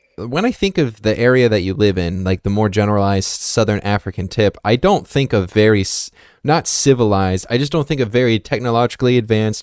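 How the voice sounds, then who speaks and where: A man speaks at a very fast pace in a fairly low voice with ordinary pitch variation. The recording is very clean, with a silent background. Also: dry, close sound with no echo. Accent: American. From US. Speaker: podcast host. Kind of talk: casual chat.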